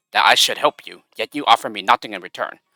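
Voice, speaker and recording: In a put-on character voice, a man talks at a very fast pace with a hissing quality, recorded with a dry, close sound and no echo. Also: medium pitch for a man. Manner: hissing, aggrieved.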